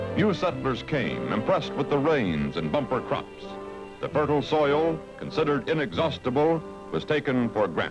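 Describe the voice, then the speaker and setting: Music in the background behind a man talking at a moderate pace. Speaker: news narrator. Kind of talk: documentary narration.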